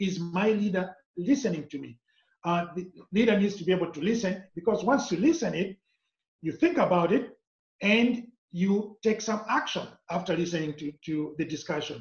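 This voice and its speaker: A man's high voice with a non-native accent, at a moderate pace and with ordinary pitch variation. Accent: foreign. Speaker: corporate trainer and author. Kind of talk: interview.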